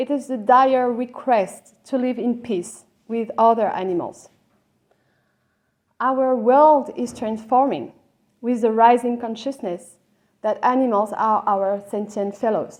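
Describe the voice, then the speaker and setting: A woman speaks at a high pitch with ordinary pitch variation. Her pace is fairly slow, with long, frequent pauses. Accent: French. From France. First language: French. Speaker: lawyer and animal law academic. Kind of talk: conference talk.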